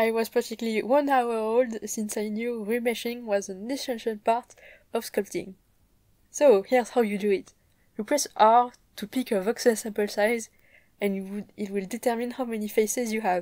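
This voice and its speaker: A woman speaks at a moderate pace in a strong French accent, her pitch fairly high and her tone dark, mellow and upbeat. The recording is very clean, with a silent background. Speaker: 3D modeling hobbyist, content creator. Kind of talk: tutorial vlog narration. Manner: casual, upbeat.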